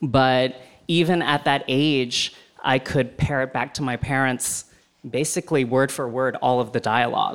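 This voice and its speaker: A man's plain, everyday voice at medium pitch, with fairly even intonation and a moderate pace. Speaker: film website editor. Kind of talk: live panel discussion.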